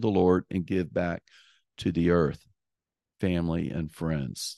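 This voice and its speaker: The background is quiet as a man talks at a fairly slow pace. The sound is dry and close, with no echo. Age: 60s. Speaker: host's father, returning guest. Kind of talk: casual chat. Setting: at home on a couch, shared microphone. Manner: halting, many fillers.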